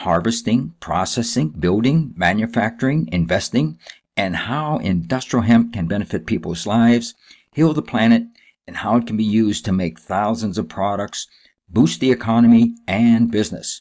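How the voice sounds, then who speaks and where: A plain, everyday voice from a man at medium pitch and moderate pace, in a very clean recording with a silent background. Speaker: podcast host. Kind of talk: interview intro and conversation.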